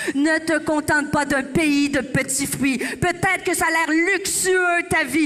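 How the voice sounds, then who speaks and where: In a raised, projected voice with a Quebec accent, a woman speaks at a fairly slow pace in an animated tone over noticeable background noise. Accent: Québécois. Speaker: pastor. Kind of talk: sermon.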